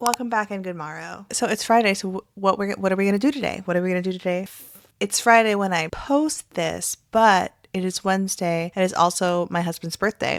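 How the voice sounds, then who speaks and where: Recorded very cleanly over a silent background, a woman talks at a fairly quick pace with ordinary pitch variation, an unremarkable speaking voice. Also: medium pitch for a woman. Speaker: reaction commentary youtuber. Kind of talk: casual vlog commentary. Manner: casual, chatty.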